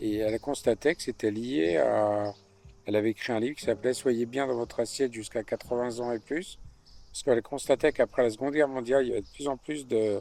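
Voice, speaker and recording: In a dark, mellow tone with ordinary pitch variation and big swings in loudness, the voice moves at a fairly quick pace, with a dry, close sound and no echo on a very clean recording with a silent background. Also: man, medium pitch for a man. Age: 60s. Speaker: winemaker. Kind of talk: interview. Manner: halting, many hesitations.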